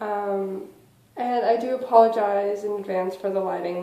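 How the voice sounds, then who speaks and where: A woman at medium pitch and a moderate pace, fairly even in intonation, with audible room echo. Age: 20s. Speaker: vlogger. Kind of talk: casual vlog. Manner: quiet.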